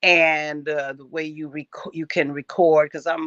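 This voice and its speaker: At a moderate pace, a woman speaks with a very deep, low pitch and monotone, flat intonation. The sound is dry and close with no echo. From Cleveland. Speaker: jazz vocalist. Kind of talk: interview answer.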